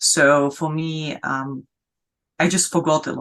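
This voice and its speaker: With a non-native accent, a woman speaks in a very deep, low pitch. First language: not English. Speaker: founder of sustainability business network. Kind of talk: interview. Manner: halting, many fillers.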